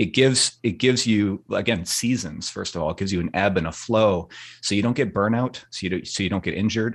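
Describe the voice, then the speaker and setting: A man's fairly low voice at a very fast pace, with ordinary pitch variation and a quiet background. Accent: western Canadian. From Vancouver, western Canada. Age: 40s. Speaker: ultramarathon runner and filmmaker. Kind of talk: interview conversation. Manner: hesitant with fillers.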